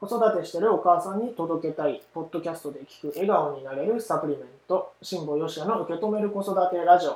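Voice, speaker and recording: The loudness swings widely throughout. Pitch variation is ordinary. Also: man, high pitch for a man. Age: 30s. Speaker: parenting podcast host. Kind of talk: casual solo talk; scripted outro.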